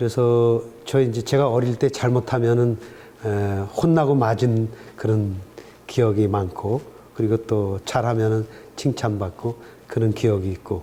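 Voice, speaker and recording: Pausing long and often, a man speaks at a fairly slow pace in a dark, mellow tone, his medium pitch held to fairly even intonation. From Korea, Gangwon (Chuncheon). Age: 60s. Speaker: professor emeritus. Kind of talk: interview. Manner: hesitant with many fillers.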